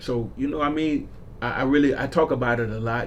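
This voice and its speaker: A man with an American accent at a fairly quick pace, with audible room echo and noticeable background noise. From South Florida (Broward County). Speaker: community activist. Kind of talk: radio interview. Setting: radio studio. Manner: casual, animated.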